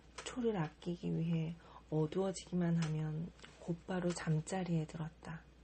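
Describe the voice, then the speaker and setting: Soft-spoken and fairly low, a woman talks at a fairly slow pace with fairly even intonation. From Korea. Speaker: model. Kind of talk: audiobook reading.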